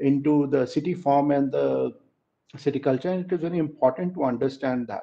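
Ordinary pitch variation from a male speaker. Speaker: presenter. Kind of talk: presentation talk. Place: home room. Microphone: headset.

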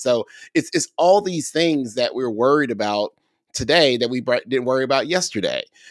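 A man speaks at a moderate pace against a quiet background. The sound is dry, with no echo. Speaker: podcast co-host, ed-tech educator; podcast co-host. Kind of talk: casual podcast chat. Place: home room. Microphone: studio mic.

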